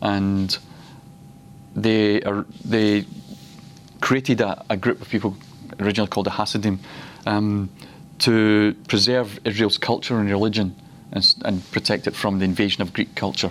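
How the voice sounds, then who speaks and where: A man with a Glaswegian accent, fairly low pitch and fairly even intonation, at a moderate pace with long, frequent pauses. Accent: Glaswegian Scottish. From Scotland, Glasgow. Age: 50s. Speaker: preacher. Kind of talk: teaching session. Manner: halting.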